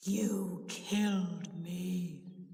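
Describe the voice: A female-sounding voice does a growling, put-on character voice at a medium pitch. The intonation is flat and monotone, with slight echo.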